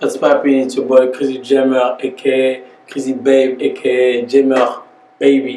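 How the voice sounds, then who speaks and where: In a Congolese accent, a man speaks at a moderate pace and medium pitch with monotone, flat intonation, amid audible room echo and noticeable background noise. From DR Congo. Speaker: rapper. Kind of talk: interview. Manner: casual.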